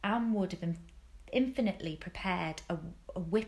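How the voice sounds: This is a natural reading voice. The words come across as a natural reading voice.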